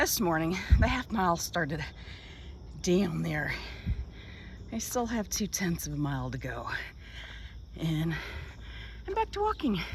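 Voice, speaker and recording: A woman's fairly slow speech, broken by long, frequent pauses, with noticeable background noise. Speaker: vlogger, boat liveaboard traveler. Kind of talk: casual vlog monologue. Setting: outdoors. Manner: whispering.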